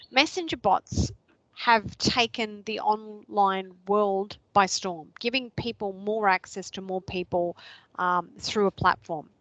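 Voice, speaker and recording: A woman with an Australian accent, a medium pitch, ordinary pitch variation and a very slow pace, in a dry, close sound with no echo and a quiet background. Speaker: social media trainer. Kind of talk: online workshop presentation.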